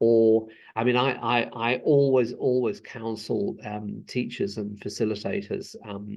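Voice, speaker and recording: A man with a British accent, medium in pitch, with hardly any pauses. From UK. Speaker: school inspector. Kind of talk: interview. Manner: hesitant, many repeated words.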